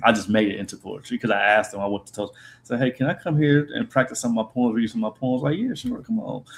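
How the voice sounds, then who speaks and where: Speaking with an American accent, a man lets his pitch vary in an ordinary way. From Columbus, Ohio, US Midwest. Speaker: spoken word poet. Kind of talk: interview. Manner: tends to talk fast.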